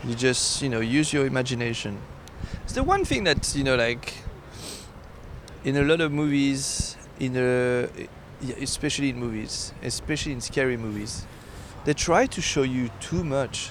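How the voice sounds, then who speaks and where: A man's medium-pitched voice with a French accent and fairly even intonation, long and frequent pauses, audible room echo and noticeable background noise. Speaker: podcast co-host. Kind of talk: casual chat. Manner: slow; halting.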